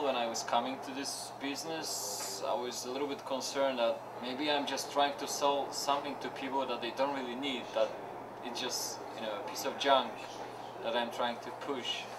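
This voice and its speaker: Over noticeable background noise and audible room echo, a man speaks at medium pitch and a moderate pace in a monotone, flat intonation. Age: 20s. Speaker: pedicab driver. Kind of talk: interview.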